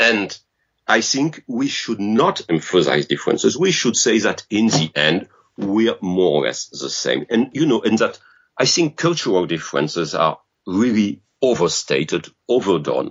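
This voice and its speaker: Man with a French accent, vocal fry, very wide pitch swings and a moderate pace. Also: medium pitch for a man. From France. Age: 50s. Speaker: game designer. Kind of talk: interview. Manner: halting.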